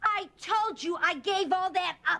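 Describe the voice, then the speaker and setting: Someone performs a put-on character voice at a fairly slow pace with ordinary pitch variation. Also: woman. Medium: short film.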